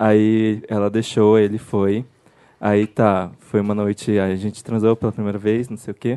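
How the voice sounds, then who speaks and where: In a Brazilian accent, a man speaks at a fairly slow pace with a fairly low pitch, a dark, mellow tone, and monotone, flat intonation, in a dry, close sound with no echo. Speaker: production team member. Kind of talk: storytelling. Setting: stage with audience.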